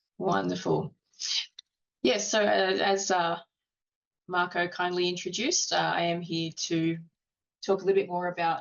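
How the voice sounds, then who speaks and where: A woman's fairly low voice with fairly even intonation and an Australian accent. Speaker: industry speaker. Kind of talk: webinar presentation.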